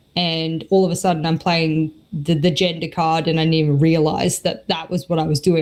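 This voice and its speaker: In an Australian accent, the speaker keeps to a moderate pace. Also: woman. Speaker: esports caster and analyst. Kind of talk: podcast interview. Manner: animated.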